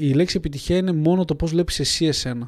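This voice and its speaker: A fairly high-pitched man's voice with a dark, mellow tone at a fairly quick pace, in a very clean recording with a silent background. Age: 20s. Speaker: clothing company founder. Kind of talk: interview.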